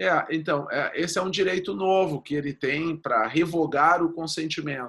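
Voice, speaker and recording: The speaker talks at a moderate pace with a southern Brazilian accent and ordinary pitch variation. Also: man, fairly high pitch for a man. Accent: gaúcho. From Rio Grande do Sul, Brazil. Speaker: lawyer. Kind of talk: interview about data protection law. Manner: halting, repeats words.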